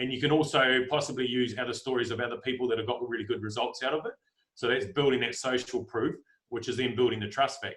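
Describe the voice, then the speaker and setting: Here a man talks at a fairly quick pace. His pitch is medium, and his intonation stays fairly even. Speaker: life coach. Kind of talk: team training talk. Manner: fast.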